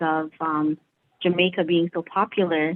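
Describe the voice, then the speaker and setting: Her voice is a normal speaking voice, fairly low for a woman. Intonation stays fairly even. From Canada. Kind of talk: casual chat.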